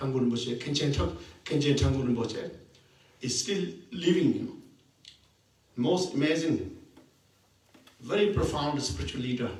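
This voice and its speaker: A man with a fairly high pitch speaks with lively intonation and long, frequent pauses. Audible room echo surrounds his voice. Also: moderate pace. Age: 60s. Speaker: Buddhist teacher. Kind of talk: dharma talk. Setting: meditation center. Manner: halting.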